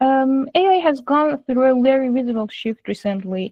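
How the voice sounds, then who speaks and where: A woman talks with an Iranian accent at a moderate pace. Her intonation is lively. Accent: Iranian (Persian). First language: Persian. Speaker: AI and machine learning engineer. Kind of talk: lecture. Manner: halting, frequent fillers.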